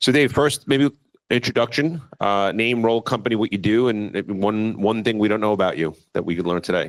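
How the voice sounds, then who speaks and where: A man talks at a fairly quick pace in a New York accent. His pitch is medium, with ordinary variation. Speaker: panel moderator. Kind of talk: panel discussion.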